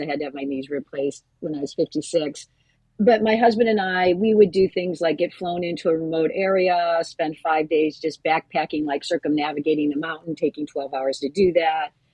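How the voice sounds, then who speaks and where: A woman with an ordinary speaking voice talks at a fairly quick pace. Her pitch is fairly low, with ordinary pitch variation. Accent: American. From US Midwest. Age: 60s. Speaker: family physician and endurance cyclist. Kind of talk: interview.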